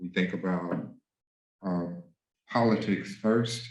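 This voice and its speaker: Room echo can be heard as a man talks at a moderate speed. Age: 60s. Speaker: music professor. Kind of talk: lecture. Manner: halting.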